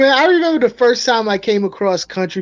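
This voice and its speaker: With music playing behind him, a man speaks in a New York accent with an animated tone and lively intonation, the sound dry and close with no echo. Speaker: aquarium fish YouTube live streamer. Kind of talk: casual chat on live stream.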